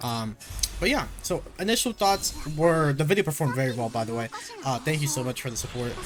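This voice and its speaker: Over music in the background, a man with a fairly high pitch talks at a fairly quick pace with lively intonation. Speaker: gaming content creator. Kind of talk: casual commentary video. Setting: home recording in own room. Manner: stutters; filler-heavy, rambling delivery.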